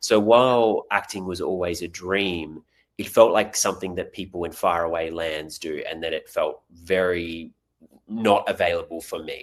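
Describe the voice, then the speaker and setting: On a very clean recording with a silent background, someone with an Australian accent speaks at a moderate pace, with big swings in loudness. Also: man. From Australia, Tasmania. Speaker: actor. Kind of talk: podcast interview.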